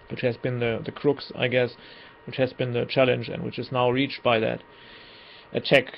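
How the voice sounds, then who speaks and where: At a moderate pace and medium pitch, a man speaks with long, frequent pauses. His intonation is monotone and flat. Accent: German. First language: German. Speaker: political commentator. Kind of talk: monologue commentary. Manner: halting.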